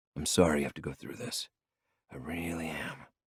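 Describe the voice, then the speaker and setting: A man does a raspy put-on character voice with a very deep, low pitch and ordinary pitch variation. He moves at a fairly quick pace, his loudness swinging widely. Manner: sympathetic, sad.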